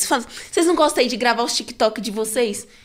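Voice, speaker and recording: A woman's voice with lively intonation. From São Paulo Zona Sul, Brazil. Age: 20s. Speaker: cultural producer and singer. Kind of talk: casual podcast interview. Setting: studio.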